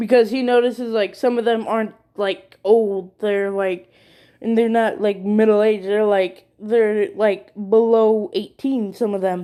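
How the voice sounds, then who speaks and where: A woman speaks at a fairly slow pace with fairly even intonation and a dark, mellow tone. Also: fairly high pitch for a woman. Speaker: fan fiction storyteller. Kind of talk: improvised storytelling. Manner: halting.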